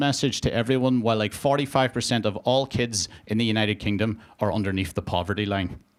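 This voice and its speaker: A man with a Northern Irish accent talks at a very fast pace. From Northern Ireland, border area. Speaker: stand-up comedian. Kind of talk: stand-up. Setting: stage with audience. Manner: casual, conversational with filler words.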